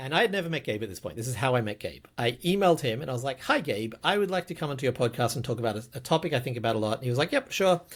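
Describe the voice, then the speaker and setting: In a very clean recording with a silent background, a man with a somewhat breathy, medium-pitched voice talks very fast with lively intonation and hardly any pauses. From Australia. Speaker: podcast host, game designer. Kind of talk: casual podcast chat. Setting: video podcast recording.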